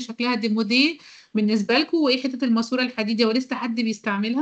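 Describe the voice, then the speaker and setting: Speaking at a very fast pace with fairly even intonation, a woman is heard over a quiet background. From Egypt. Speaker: university lecturer. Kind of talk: online lecture. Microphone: video call.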